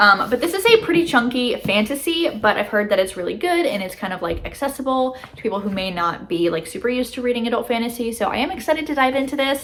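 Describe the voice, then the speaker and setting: Lively intonation at a very fast pace, with noticeable background noise. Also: woman. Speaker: booktuber. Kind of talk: casual vlog book haul. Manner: filler-heavy casual, frequent um.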